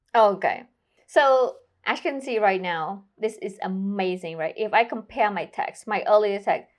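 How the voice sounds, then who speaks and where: A woman with a non-native accent, fairly high pitch and lively intonation, at a moderate pace against a quiet background. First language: not English. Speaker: tech tutorial youtuber. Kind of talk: tutorial. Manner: casual, conversational.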